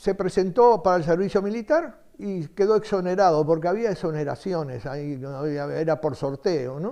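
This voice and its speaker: With a Uruguayan accent, a man talks at a fairly quick pace in a dark, mellow tone, his high pitch moving with lively intonation. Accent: Uruguayan Spanish (Rioplatense). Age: 80s+. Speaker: retired book salesman. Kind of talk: interview testimony. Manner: hesitant, with many fillers.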